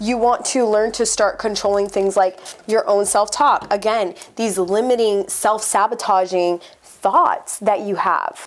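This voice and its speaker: A woman's fairly high, unremarkable speaking voice at a fairly slow pace with fairly even intonation. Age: 30s. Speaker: life coach. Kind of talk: motivational talk to camera.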